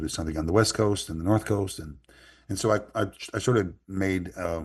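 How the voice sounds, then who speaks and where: A man with a Newfoundland accent talks with ordinary pitch variation. The background is quiet. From Newfoundland, Canada. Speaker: author and musician. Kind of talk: interview answer.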